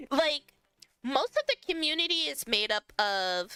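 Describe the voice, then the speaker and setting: Over background music, a woman with an American accent projects a raised voice at a high pitch, swinging very widely in pitch at a very slow pace, the sound dry and close with no echo. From US, New York. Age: 20s. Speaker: streamer. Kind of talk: casual chat. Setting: live stream. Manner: hesitant, filler-heavy.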